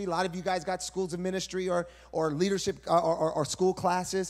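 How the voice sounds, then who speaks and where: Against a quiet background, a man with a high pitch speaks at a moderate pace. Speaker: preacher. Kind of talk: sermon. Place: church. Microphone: handheld.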